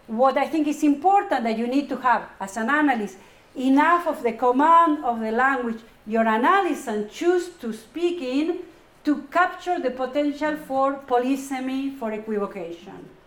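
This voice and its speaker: A woman's high voice in a Spanish accent with lively intonation, a moderate pace and audible room echo. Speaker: psychoanalyst and professor. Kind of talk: Q&A after a lecture.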